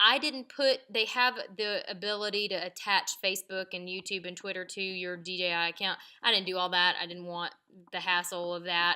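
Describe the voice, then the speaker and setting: Heard in a very clean recording with a silent background, a woman speaks loudly at a moderate pace in a bright, sharp tone with fairly even intonation. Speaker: video creator. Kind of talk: tutorial. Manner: casual, with many fillers.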